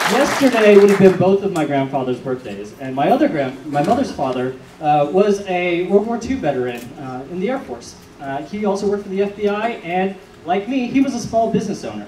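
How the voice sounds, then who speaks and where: Over noticeable background noise and audible room echo, a man with an American accent speaks at a fairly quick pace in a high pitch with very wide pitch swings. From Georgia, US South. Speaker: political candidate. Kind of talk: candidate forum speech.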